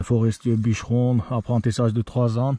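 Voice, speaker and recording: Here a man speaks at medium pitch with a dark, mellow tone. His pace is moderate. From Turkey. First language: Turkish (speaking French). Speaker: vlogger. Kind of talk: hiking vlog narration. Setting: outdoors. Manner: halting.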